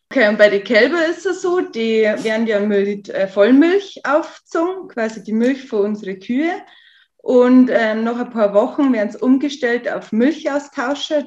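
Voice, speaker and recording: Speaking at a fairly slow pace, a woman talks in a high pitch. Her intonation is lively. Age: 20s. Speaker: farmer. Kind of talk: interview. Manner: hesitant, with fillers.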